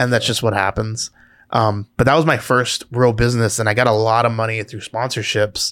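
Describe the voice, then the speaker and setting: A man at a medium pitch with a Southern California accent, talking at a fairly quick pace on a very clean recording with a silent background. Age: 30s. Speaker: entrepreneur and podcast co-host. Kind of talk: casual chat. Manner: animated.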